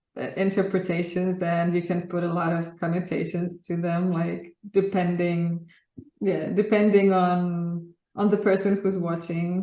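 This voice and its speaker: In a room with audible echo, a woman speaks fairly slowly at a fairly low pitch, her dark, mellow tone held in monotone, flat intonation. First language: Polish. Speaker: graphic artist. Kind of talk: interview. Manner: hesitant, with many fillers.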